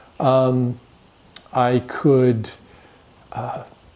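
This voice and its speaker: This is a man's voice. Noticeable noise sits in the background. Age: 70s. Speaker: real estate agent. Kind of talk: testimony. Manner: halting, many repeated words.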